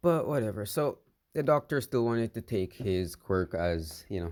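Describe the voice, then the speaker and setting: Soft-spoken and at a moderate pace, the voice makes very wide pitch swings on a very clean recording with a silent background. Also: man. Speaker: fan fiction storyteller. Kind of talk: casual storytelling monologue. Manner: rambling, halting.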